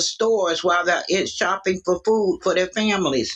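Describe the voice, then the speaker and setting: Music plays in the background as a woman speaks at a fairly quick pace. Her medium-pitched voice keeps a fairly even intonation. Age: 60s. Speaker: livestream caller. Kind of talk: political discussion.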